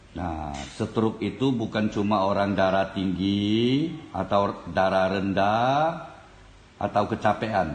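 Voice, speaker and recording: Speaking at a very slow pace, a man with a fairly low voice shows ordinary pitch variation amid audible room echo. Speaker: folk remedy practitioner demonstrating. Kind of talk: tutorial. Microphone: phone near.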